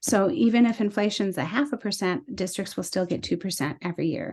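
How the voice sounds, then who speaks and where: A woman's fairly quick speech over a quiet background. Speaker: state legislator. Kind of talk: policy presentation. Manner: fast.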